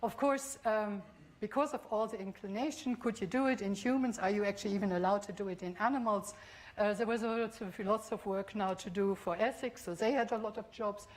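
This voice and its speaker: Somewhat breathy and fairly quick, a woman with a fairly high pitch speaks with a German accent. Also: fairly even intonation. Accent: non-Scottish, German. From Bavaria, Germany. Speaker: professor of biotechnology. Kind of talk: public lecture. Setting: lecture hall with audience. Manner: hesitant, with fillers.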